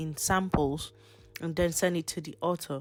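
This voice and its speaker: A woman's fairly low voice at a fairly slow pace, with music in the background. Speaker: online income tutorial creator. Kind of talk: tutorial. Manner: casual, conversational.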